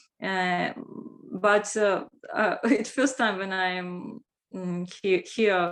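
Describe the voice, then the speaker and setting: A woman with a Russian accent, medium pitch, ordinary pitch variation and a very slow pace. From Russia, Moscow. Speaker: language teacher. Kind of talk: self-introduction in group video chat. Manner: halting.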